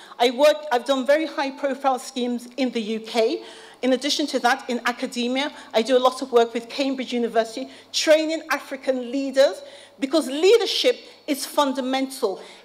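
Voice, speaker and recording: Speaking at a fairly quick pace, a woman uses a high pitch with ordinary variation amid noticeable background noise. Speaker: policy advisor and academic speaker. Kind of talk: conference speech. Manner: fast.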